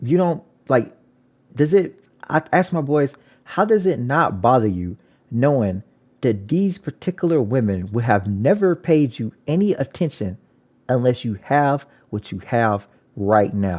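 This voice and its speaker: A man's loud, animated voice sits at a medium pitch with very wide pitch swings in a very clean recording with a silent background. He moves at a fairly slow pace with long, frequent pauses. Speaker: podcast co-host. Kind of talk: casual chat.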